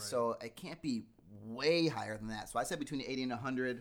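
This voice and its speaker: A man with a medium-pitched voice speaks at a fairly quick pace, with ordinary pitch variation and an unremarkable speaking voice. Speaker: magazine journalist. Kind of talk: casual chat. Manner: joking.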